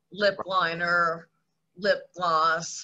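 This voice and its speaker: This woman's voice sits at medium pitch with fairly even intonation. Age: 60s. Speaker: television makeup artist. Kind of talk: casual chat.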